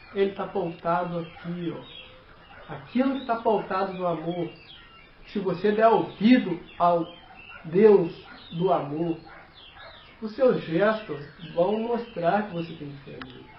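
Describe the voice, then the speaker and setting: A man with a non-native accent and a high pitch, speaking at a very slow pace with long, frequent pauses and big swings in loudness, amid noticeable background noise and audible room echo. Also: ordinary pitch variation. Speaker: lay preacher. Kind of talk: sermon. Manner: halting.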